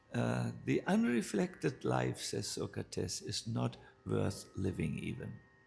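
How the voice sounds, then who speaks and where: Over music in the background, a man speaks at a very slow pace with very wide pitch swings. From northern Germany. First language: German. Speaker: spiritual teacher, monk. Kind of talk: spiritual talk. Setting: live talk with audience.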